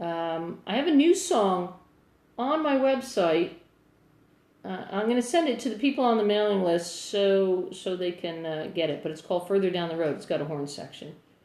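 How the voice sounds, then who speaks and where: With an American accent, a woman speaks at medium pitch and a moderate pace, her intonation lively and her loudness swinging widely, amid audible room echo. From New Jersey, Asbury Park. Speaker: singer-songwriter. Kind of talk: casual livestream chat. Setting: livestream answering viewer comments.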